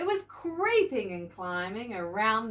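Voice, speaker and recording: A woman with a New Zealand accent speaks at a very slow pace, her fairly high pitch making very wide swings. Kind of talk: bedtime children's story reading.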